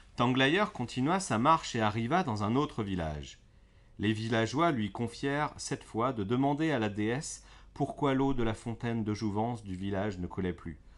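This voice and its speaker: A man's unremarkable speaking voice, medium in pitch, at a moderate pace against a quiet background. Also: lively intonation. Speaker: storyteller reading fairy tales aloud. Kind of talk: bedtime story narration, read aloud to children. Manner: gentle, soothing, calm storyteller pace.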